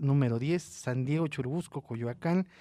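Recorded very cleanly with a silent background, a man speaks at a fairly high pitch with ordinary pitch variation. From Mexico City. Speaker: radio host. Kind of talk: radio interview and event announcements.

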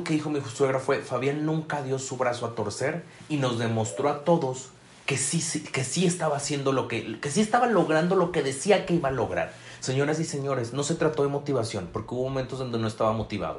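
In a Mexican accent, a man with a fairly high pitch and ordinary pitch variation speaks in an animated tone at a fairly quick pace. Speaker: podcast host and business coach. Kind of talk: motivational talk.

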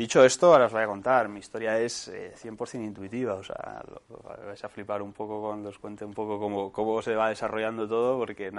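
Monotone and flat, a man speaks at a fairly low pitch. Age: 20s. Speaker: entrepreneur. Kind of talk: talk to students. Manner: casual, halting.

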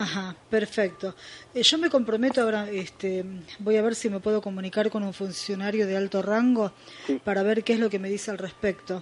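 With a Rioplatense accent, a woman talks at a fairly quick pace in a medium pitch, showing ordinary pitch variation against noticeable background noise. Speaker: radio host. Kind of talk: casual chat.

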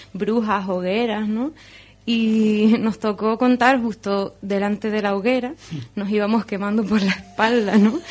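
Speaking at a moderate pace in a normal speaking voice, a woman with a fairly high pitch keeps her intonation fairly even. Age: young. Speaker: storyteller and marine biologist. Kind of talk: radio interview; storytelling performance. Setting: radio studio.

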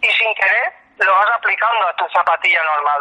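Over noticeable background noise, a man projects a raised voice at a high pitch, moving at a moderate pace with ordinary pitch variation. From Spain, Alicante (Denia). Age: 50s. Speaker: running coach and shoe entrepreneur. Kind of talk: interview. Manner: halting.

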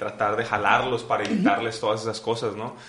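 A man with a Mexican accent at a fairly quick pace, ordinary pitch variation, audible room echo and noticeable background noise. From Mexico. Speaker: podcast host. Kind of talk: casual interview.

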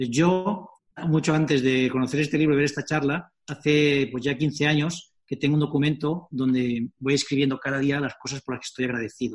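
A man talks at a fairly quick pace in a fairly high voice with fairly even intonation. He has a normal speaking voice. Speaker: company founder and author. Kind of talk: interview.

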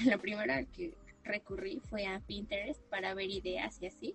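There is noticeable background noise as a woman talks. Her pitch is medium and her pace fairly slow. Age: 20s. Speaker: university student and environmental advocate. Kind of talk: casual interview chat.

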